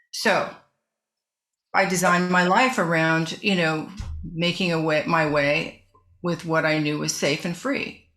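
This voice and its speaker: Music plays behind a woman with a fairly low pitch, and audible room echo fills the space. She keeps a moderate pace. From US West (northern California). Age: 70s. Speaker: author and former decorative artist. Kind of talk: interview.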